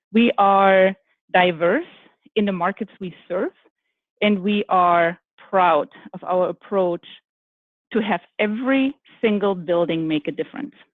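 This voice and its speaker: A woman's medium-pitched voice in a German accent, fairly slow, with ordinary pitch variation and long, frequent pauses. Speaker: architect, firm executive. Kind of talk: panel discussion. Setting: virtual summit.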